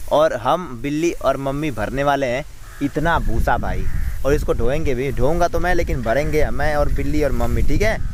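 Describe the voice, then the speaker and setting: Speaking at a fairly slow pace, a man's voice carries audible room echo. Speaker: village vlogger. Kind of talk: casual vlog narration. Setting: outdoors, farm.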